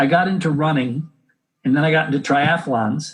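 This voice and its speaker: A man with an American accent speaks in an unremarkable speaking voice, fairly high in pitch. His intonation is lively and his pace moderate. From United States. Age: 60s. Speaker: health educator and exercise physiologist. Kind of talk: interview.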